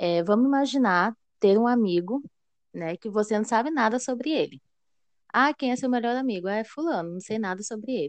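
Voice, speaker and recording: Against a quiet background, a woman with a fairly high pitch and lively intonation speaks at a moderate pace in a dry, close sound with no echo. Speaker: psychologist and HR analyst. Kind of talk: casual interview chat. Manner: talkative.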